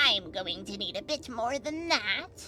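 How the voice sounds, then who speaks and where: In a put-on character voice, a woman speaks at a fairly slow pace with a high pitch and very wide pitch swings over clear background noise. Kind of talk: voiced game dialogue. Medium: virtual streamer. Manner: brisk, condescending.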